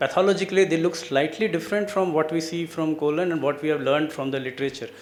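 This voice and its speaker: A man with an Indian accent talks at a fairly high pitch with ordinary pitch variation. Noticeable background noise and audible room echo fill the recording. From India, Delhi. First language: Hindi. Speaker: cancer researcher. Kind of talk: lecture.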